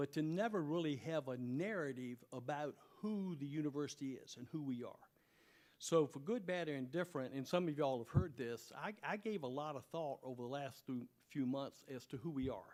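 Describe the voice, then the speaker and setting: A plain, everyday voice moves at a fairly quick pace. The pitch varies in an ordinary way. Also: man, fairly high pitch for a man. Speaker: university president. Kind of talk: presentation to city commission. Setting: public meeting at a university.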